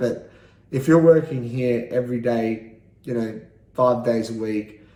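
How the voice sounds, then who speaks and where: A man with an Australian accent speaks at a moderate pace, with audible room echo. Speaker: vlogger. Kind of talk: casual monologue vlog. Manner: halting, many fillers.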